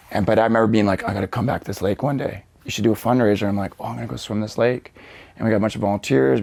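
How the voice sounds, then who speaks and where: Speaking at a very fast pace with a Western Canadian accent, the man has a fairly low pitch and vocal fry. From Canada (Vancouver suburbs, British Columbia). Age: 40s. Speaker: motivational speaker. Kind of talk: podcast interview. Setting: studio. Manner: casual, animated storytelling.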